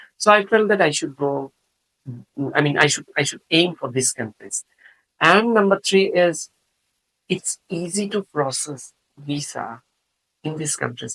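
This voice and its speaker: A man with a Bengali accent speaks at a high pitch with lively intonation and a bright, sharp tone. He leaves long, frequent pauses, and the sound is dry and close with no echo. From Bangladesh, Chittagong. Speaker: professor of biotechnology. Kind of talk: interview. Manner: hesitant, many fillers.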